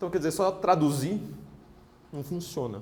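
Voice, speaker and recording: Very rapid delivery from a man, his voice fairly high and his pitch varying in an ordinary way. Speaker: political writer and lecturer. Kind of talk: lecture. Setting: stage with audience. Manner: fast; halting.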